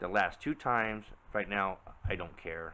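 Monotone, flat intonation at a moderate pace, with light background noise. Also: man. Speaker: vlogger reviewing a camera. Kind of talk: casual vlog chat. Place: home room. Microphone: phone near.

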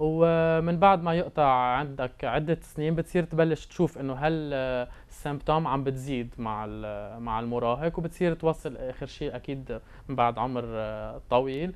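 Speaking at a fairly quick pace, a man uses a medium pitch with ordinary pitch variation.

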